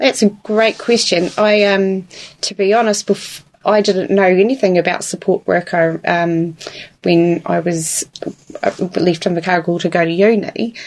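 Over noticeable background noise, a woman with a Southland New Zealand accent speaks at a fairly slow pace with a medium pitch and fairly even intonation. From New Zealand, Invercargill (Southland). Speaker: support worker. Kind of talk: interview. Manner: hesitant, many fillers.

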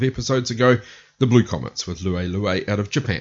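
At a fairly quick pace, a man talks in a medium pitch with ordinary pitch variation, a plain, everyday voice. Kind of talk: radio DJ patter: back-announcing a music set with track and band trivia. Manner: brisk, upbeat, matter-of-fact rundown of bands and tracks.

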